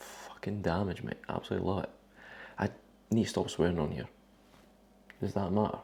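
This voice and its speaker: A man talks in a very deep, low, dark and mellow voice. His pace is fairly quick, broken by long, frequent pauses. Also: ordinary pitch variation. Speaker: bodybuilder vlogger. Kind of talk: casual vlog. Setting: at home in kitchen. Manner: whispering.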